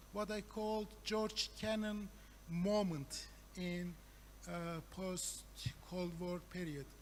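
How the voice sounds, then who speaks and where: A man with a Turkish accent speaks at a very slow pace amid audible room echo. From Turkey. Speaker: professor. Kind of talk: conference talk. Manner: halting, many fillers.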